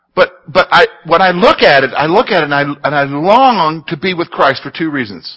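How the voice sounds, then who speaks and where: At a moderate pace, a man with a fairly high pitch talks with lively intonation and vocal fry. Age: 40s. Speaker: Bible teacher. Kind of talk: Bible study teaching. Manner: conversational.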